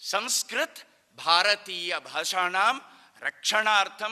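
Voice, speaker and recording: A man's raised, projected voice, high-pitched, with lively intonation. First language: Konkani (speaking Hindi). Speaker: Sanskrit activist speaker. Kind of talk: public speech. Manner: formal.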